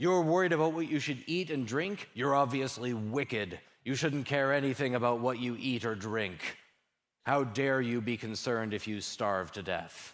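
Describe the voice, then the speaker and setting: A man puts on a character voice at a medium pitch. His intonation is lively and his pace moderate. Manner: harsh, scolding, sarcastic.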